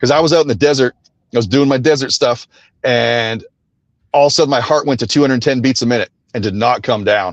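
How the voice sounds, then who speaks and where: An American-accented man rushes along at a very fast pace yet leaves long, frequent pauses. The sound is dry and close, with no echo. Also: medium pitch for a man, ordinary pitch variation. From Texas. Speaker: radio host, tackle shop owner. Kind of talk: casual interview chat.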